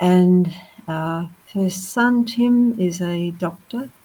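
Somewhat breathy, a woman's voice has a dark, mellow tone, medium pitch and ordinary pitch variation. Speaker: pastor's wife and grandmother. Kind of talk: interview testimony.

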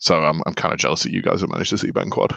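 A man speaks with a British accent in a dry, close sound with no echo. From UK. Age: 30s. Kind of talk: casual chat.

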